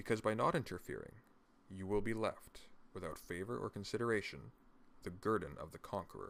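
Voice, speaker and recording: Soft-spoken and at a moderate pace, this voice carries lively intonation. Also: man. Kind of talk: reading of a classic political text.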